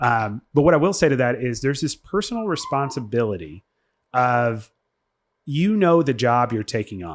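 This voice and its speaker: A loud man speaks at a medium pitch and a moderate pace. His pitch swings very widely. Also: very clean recording, silent background. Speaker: podcast co-host. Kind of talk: casual discussion. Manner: halting.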